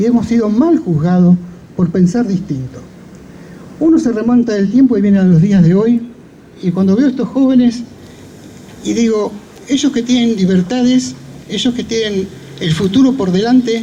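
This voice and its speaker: A man with a high voice and lively intonation speaks at a moderate pace with long, frequent pauses amid noticeable background noise. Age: 70s. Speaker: speaker at a memorial event, survivor of dictatorship. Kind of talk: commemorative speech. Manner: formal.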